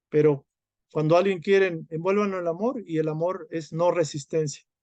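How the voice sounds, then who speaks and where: In an ordinary speaking voice, a man talks at a moderate pace and fairly high pitch, the sound dry and close with no echo. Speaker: spiritual study group teacher. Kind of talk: lecture.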